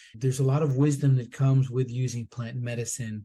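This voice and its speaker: A man speaks at a fairly quick pace in a fairly high pitch. His voice is somewhat breathy with a dark, mellow tone, over a quiet background. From US, Colombian immigrant family. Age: 50s. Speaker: former TV producer, microdosing entrepreneur. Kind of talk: podcast interview.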